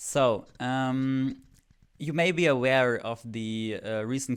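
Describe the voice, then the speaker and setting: In a very clean recording with a silent background, a man speaks at a medium pitch with a German accent and fairly even intonation. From Germany. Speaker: fan video creator. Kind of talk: casual vlog commentary. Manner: hesitant, many filler words.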